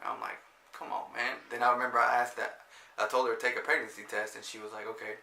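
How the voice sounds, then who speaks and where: There is audible room echo as a man speaks. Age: 20s. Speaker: vlogger. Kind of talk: casual chat.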